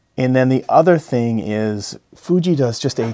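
A man is speaking over light background noise. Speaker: camera reviewer. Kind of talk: casual vlog chat. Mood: mildly frustrated, joking. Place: home room.

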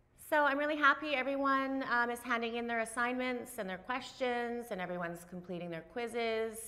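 A woman with a bright, sharp tone talks at a moderate pace with ordinary pitch variation. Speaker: instructor. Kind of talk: lecture. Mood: cheerful, upbeat. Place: classroom.

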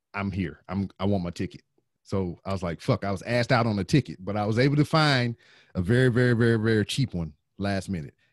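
Over a quiet background, a man speaks at a fairly low pitch with lively intonation. The pace is fairly quick and the sound dry, with no echo. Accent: Southern US. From US South. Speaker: podcaster and military veteran; podcast host. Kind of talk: casual chat. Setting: video call. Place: home room.

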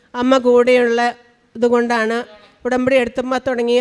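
A woman speaks in a high, monotone voice with flat intonation. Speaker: religious testimony giver, hospital worker. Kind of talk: testimony. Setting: church altar.

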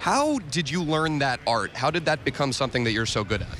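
Speech comes at a fairly quick pace over noticeable background noise. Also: man. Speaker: sports reporter. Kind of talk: interview. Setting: baseball dugout.

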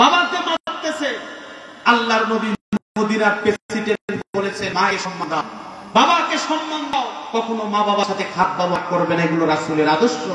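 Using a raised, projected voice, a man speaks at a high pitch with very wide pitch swings, and audible room echo surrounds him. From Bangladesh. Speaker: Islamic preacher. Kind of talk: sermon. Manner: loud; animated. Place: tent. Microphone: pa.

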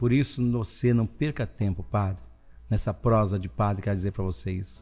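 A man with very wide pitch swings, faint music in the background. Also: fairly low pitch for a man, moderate pace. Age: 60s. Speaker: priest. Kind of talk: casual chat. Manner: animated. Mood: cheerful, joking. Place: studio. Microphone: studio mic.

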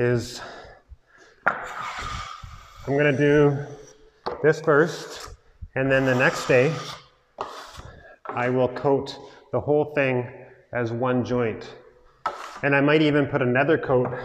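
Over noticeable background noise, a man speaks at a very slow pace in a monotone, flat intonation, with long, frequent pauses. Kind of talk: tutorial. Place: empty room. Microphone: lapel.

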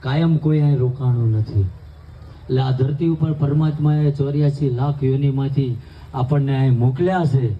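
This man has an unremarkable speaking voice with a fairly high pitch. His pitch variation is ordinary and his loudness very even. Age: 40s. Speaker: spiritual speaker, anti-alcohol campaigner. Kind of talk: public speech at community wedding.

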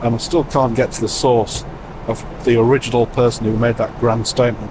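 Noticeable background noise sits under a man's monotone, flat delivery. He speaks at a moderate pace, and the sound is dry with no echo. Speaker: travel vlogger. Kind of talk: casual vlog chat. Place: plane. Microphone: lapel.

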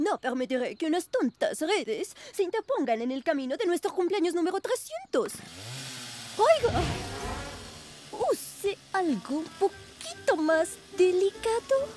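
A woman performs a cartoonish character voice with a Latin American accent, at extremely high pitch with big pitch swings and a slightly mellow tone. Faint music plays in the background. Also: fairly slow pace.

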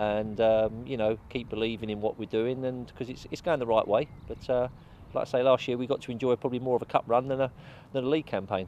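With light background noise and a dry sound with no echo, a man talks at a very fast pace in fairly even intonation. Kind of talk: interview answer. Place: open country.

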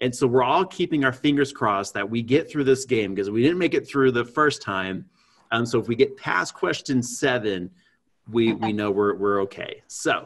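A man at a moderate pace with lively intonation, against a quiet background. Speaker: podcast host. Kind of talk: podcast host introduction. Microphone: earbuds.

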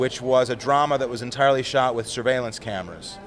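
A man speaks at a fairly quick pace with noticeable background noise behind him. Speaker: interviewee. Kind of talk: interview answer. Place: hall. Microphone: handheld.

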